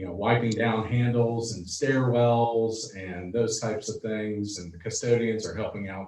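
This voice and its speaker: Keeping a moderate pace, this man varies his pitch in an ordinary way. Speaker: school superintendent. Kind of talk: board meeting report. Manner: loud; halting, many fillers.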